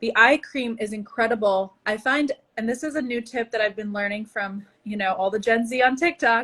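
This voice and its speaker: Speaking at a moderate pace, a woman sounds animated, with a bright, sharp tone, a fairly high pitch and ordinary pitch variation. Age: 30s. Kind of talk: casual chat.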